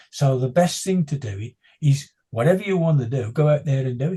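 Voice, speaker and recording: A man's fairly high, somewhat breathy voice with a dark, mellow tone, at a fairly quick pace. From West Midlands, England (West Bromwich). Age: 60s. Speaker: blind runner and motivational speaker. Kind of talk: interview.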